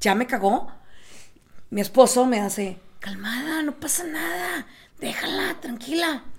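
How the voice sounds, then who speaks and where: A woman with lively intonation speaks at a fairly slow pace and a high pitch. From South Texas. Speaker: podcast co-host. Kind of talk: casual chat.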